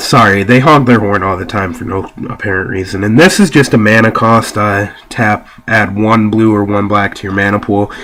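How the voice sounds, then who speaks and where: A man at a moderate pace with a fairly low pitch, fairly even intonation and hardly any pauses, over noticeable background noise. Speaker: card game deck reviewer. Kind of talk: casual talk to camera. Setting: home, laptop camera.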